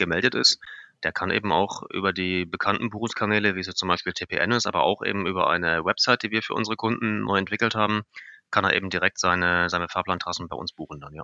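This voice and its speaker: A man at a fairly low pitch, very fast pace, fairly even intonation. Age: 30s. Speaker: software developer. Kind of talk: interview.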